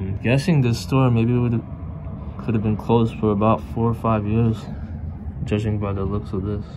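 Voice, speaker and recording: A man with a fairly low pitch and ordinary pitch variation talks against noticeable background noise. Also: moderate pace. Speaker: urban explorer vlogger. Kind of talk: casual vlog commentary. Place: street. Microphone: phone near.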